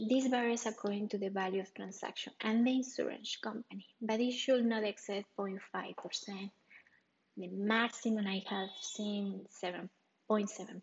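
Speaking with a Spanish accent, a woman keeps a fairly slow pace. Her voice is fairly high with fairly even intonation. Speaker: real estate advisor. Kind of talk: solo podcast explainer.

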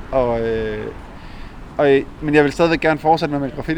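Over noticeable background noise, a man speaks at medium pitch with monotone, flat intonation. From Denmark, Jutland (small town). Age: 30s. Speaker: visual artist and graffiti painter. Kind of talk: casual interview.

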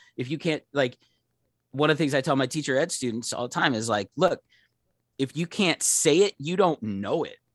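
At a moderate pace, a man with an American accent and a fairly high pitch speaks in a dry, close sound with no echo over a quiet background. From Pittsburgh, Pennsylvania. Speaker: professor. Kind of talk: casual interview. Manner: halting, many fillers and repetitions.

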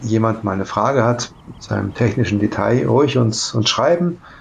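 A man of medium pitch speaks with vocal fry. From Saarland, Germany (Saarlouis). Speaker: kite company co-founder. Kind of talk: interview.

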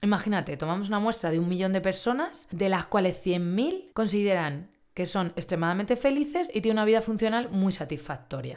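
In a normal speaking voice, the talk runs at a fairly quick pace with lively intonation and hardly any pauses. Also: woman, medium pitch for a woman. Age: 30s. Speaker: therapist. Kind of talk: solo podcast monologue.

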